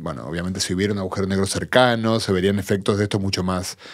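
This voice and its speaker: Over a quiet background, a man talks in a normal speaking voice at a fairly quick pace and fairly low pitch. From Argentina. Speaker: physicist; guest. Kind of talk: interview. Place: studio. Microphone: studio mic.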